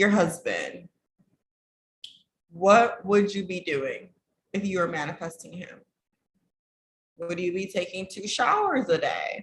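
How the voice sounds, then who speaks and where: Somewhat breathy and at a medium pitch, a woman talks at a fairly slow pace with fairly even intonation, long, frequent pauses and big swings in loudness. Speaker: relationship coach. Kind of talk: casual vlog talk to camera.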